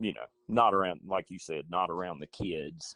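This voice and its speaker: This man has a very deep, low pitch with ordinary pitch variation. The sound is dry and close, with no echo. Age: 60s. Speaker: high school football coach. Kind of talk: casual interview chat.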